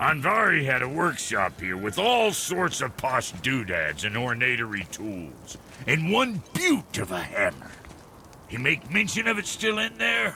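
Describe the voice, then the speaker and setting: A put-on character voice talks at a moderate pace. Background noise is clearly audible. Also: man, medium pitch for a man. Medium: video game. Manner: brash, folksy slang.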